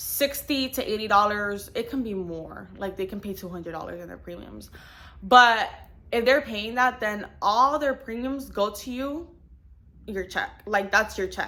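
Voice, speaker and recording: The tone is bright and sharp, with big swings in loudness. The pace is fairly slow. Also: woman, fairly high pitch for a woman, ordinary pitch variation. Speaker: insurance agent and vlogger. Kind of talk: casual vlog talk. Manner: casual, many fillers.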